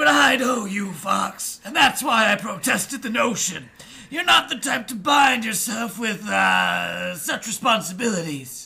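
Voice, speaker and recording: In a put-on character voice, a man shouts at a moderate pace, his high-pitched voice wheezy and swinging very widely in pitch. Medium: read story.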